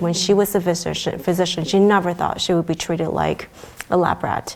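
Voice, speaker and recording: A woman with an American accent has a normal speaking voice. Her pitch is fairly low and her intonation fairly even. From China until age 8, then US. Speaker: pediatrician. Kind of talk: interview. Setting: venue interview.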